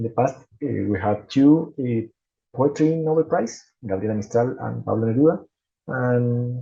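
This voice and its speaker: A man's somewhat breathy voice has a dark, mellow tone and ordinary pitch variation. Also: medium pitch for a man, moderate pace. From Chile. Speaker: gastroenterologist. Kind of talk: conference presentation. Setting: conference stage. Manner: halting, with repetitions.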